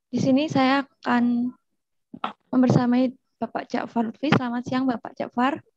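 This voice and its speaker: A woman speaks at a high pitch with monotone, flat intonation and a moderate pace. Long, frequent pauses, noticeable background noise and a dry sound with no echo mark the clip. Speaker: student moderator. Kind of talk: webinar moderation. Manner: formal.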